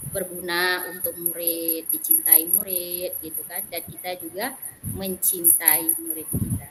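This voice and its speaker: With music in the background, a woman speaks in a Malay accent at a very slow pace and a fairly low pitch. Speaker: Islamic religion teacher. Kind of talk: self-introduction in online class.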